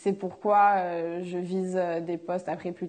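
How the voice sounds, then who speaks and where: Against a quiet background, the voice has a dark, mellow tone and moves at a fairly slow pace with monotone, flat intonation. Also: woman. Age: 20s. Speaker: fashion student. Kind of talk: testimony. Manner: hesitant, many filler sounds.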